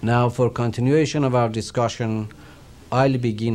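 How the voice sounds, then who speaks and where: A man speaks with a Persian accent, with audible room echo. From Iran. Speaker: religious teacher. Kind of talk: lecture.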